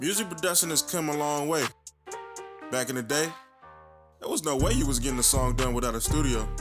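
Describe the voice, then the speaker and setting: With music in the background, a man speaks at a very fast pace, yet with long, frequent pauses. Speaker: music producer. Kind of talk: class presentation narration.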